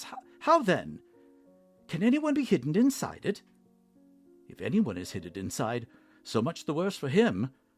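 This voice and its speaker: Over faint music in the background, a man uses a shaky, put-on character voice at a moderate pace. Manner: stuttering, trembling.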